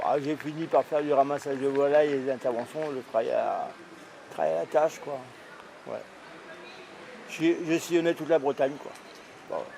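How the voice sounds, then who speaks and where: A man speaks at a moderate pace with long, frequent pauses. Noticeable background noise sits behind him. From Brittany, France. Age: 60s. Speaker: homeless street poet. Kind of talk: documentary interview. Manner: halting, many fillers.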